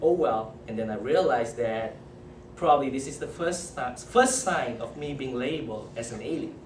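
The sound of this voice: A man with a Malaysian accent, lively intonation and audible room echo. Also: medium pitch for a man, moderate pace.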